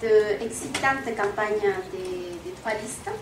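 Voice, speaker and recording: A woman with a Spanish accent speaks at a very slow pace with very wide pitch swings, amid audible room echo and noticeable background noise. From Colombia. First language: Spanish (speaking French). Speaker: parent association member, audience member. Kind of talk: public Q&A question. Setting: public meeting hall with audience, wireless mic.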